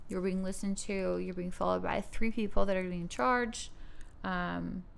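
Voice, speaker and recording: A woman at a moderate pace, with audible room echo. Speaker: model. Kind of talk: casual chat. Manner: halting.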